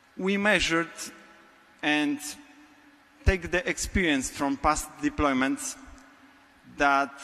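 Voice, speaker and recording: Lively intonation marks a man's speech in a Polish accent. His pace is fairly slow. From Poland. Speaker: business technology architect. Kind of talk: conference talk. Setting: stage with audience.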